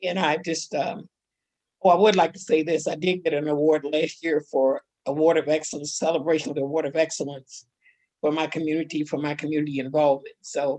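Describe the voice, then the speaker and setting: A woman with a very deep, low pitch and a dark, mellow tone talks at a fairly quick pace with fairly even intonation. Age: 80s+. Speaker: church women's event speaker. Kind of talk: testimony.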